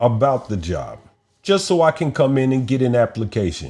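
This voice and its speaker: In an American accent, a man speaks at a medium pitch and a moderate pace, with lively intonation and an animated tone. The recording is very clean, with a silent background. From United States. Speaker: podcast co-host. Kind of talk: casual chat. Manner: animated storytelling.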